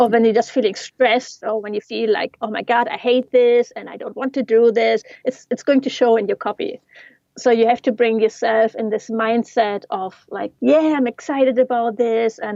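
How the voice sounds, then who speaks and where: With a non-native accent, a woman speaks at a moderate pace in a fairly high pitch and fairly even intonation, the sound dry and close with no echo. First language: not English. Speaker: yoga teacher and digital marketing coach. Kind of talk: casual interview.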